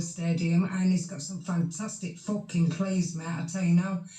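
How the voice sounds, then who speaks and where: A woman speaks with a Yorkshire accent. Audible room echo surrounds her voice. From Yorkshire, near Hull. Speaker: live stream chat participant. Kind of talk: heated banter.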